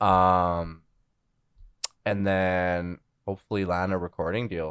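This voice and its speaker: Very slowly and in a monotone, flat intonation, a man with a Canadian accent speaks in a very deep, low voice. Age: 20s. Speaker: musician. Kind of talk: casual interview chat.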